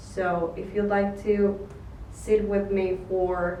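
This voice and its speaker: In a room with audible echo and noticeable background noise, a woman talks with a non-native accent. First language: not English. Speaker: vlogger, photographer and filmmaker. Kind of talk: casual monologue to camera. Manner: halting, with fillers.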